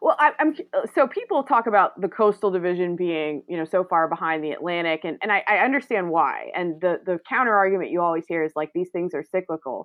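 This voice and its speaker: A woman with an American accent has an ordinary speaking voice at a medium pitch. She talks at a fairly quick pace with lively intonation. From North Carolina, Greensboro. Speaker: sports journalist, podcast host. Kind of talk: casual chat.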